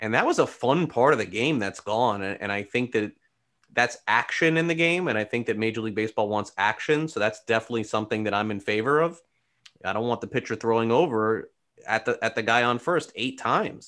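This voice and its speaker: A man's plain, everyday voice at medium pitch, fairly quick, with ordinary pitch variation and a quiet background. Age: 40s. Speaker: baseball reporter. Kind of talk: casual interview.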